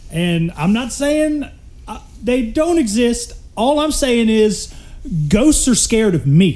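With a Southern US accent, a man speaks at a very slow pace in a dark, mellow tone, his pitch extremely high and swinging very widely. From Mississippi. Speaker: podcast guest. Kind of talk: casual chat.

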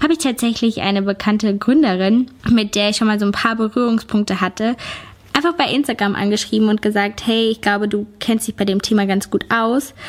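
A fairly high-pitched woman at a very even loudness, with noticeable background noise. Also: ordinary pitch variation. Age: 20s. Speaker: YouTuber and podcaster. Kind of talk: casual personal monologue.

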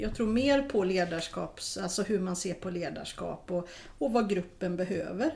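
A woman talks at a fairly slow pace with lively intonation. Her voice has vocal fry. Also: medium pitch for a woman. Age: 40s. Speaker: occupational therapist. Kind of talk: casual interview.

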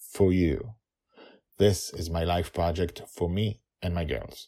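Speaking slowly, a man uses a low-pitched voice with a dark, mellow tone and fairly even intonation.

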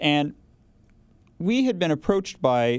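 A man speaks with an American accent. The recording is very clean, the background silent. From Oklahoma. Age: 40s. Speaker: attorney. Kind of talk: interview. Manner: halting.

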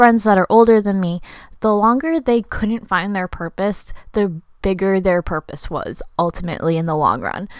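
A woman talks at a moderate pace and medium pitch with ordinary pitch variation, in an ordinary speaking voice. The recording is very clean, with a silent background. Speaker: podcast host and student entrepreneur. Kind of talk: solo podcast monologue.

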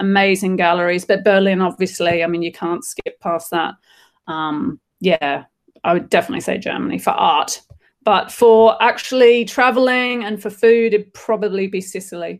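Speaking at a medium pitch, a woman talks in an Australian accent. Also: ordinary pitch variation, moderate pace. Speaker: artist and creative director. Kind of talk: casual interview. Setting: video call from her studio.

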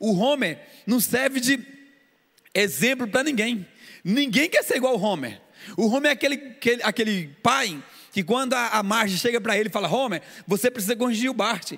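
A man speaks at an extremely high pitch and a moderate pace, with lively intonation and very even loudness. His pauses are long and frequent. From Brazil, Goiânia (Goiás). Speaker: pastor. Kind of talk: sermon. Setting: church service streamed on YouTube.

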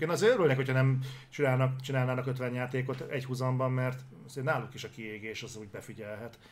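A man at medium pitch talks at a very fast pace. Noticeable background noise and audible room echo fill the clip. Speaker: gaming news show co-host. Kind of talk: casual chat. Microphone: noise gate cutting out his audio.

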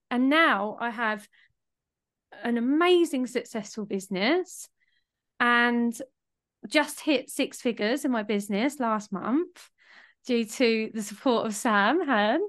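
Against a quiet background, a woman with a high pitch speaks at a very slow pace, leaving long, frequent pauses. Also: ordinary pitch variation. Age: 30s. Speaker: spiritual business mentor. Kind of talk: podcast interview.

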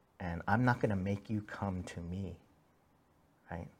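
In an American accent, a man speaks at a moderate pace with a very deep, low, somewhat breathy voice. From US, second-generation Korean American. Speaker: pastor. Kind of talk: sermon. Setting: church.

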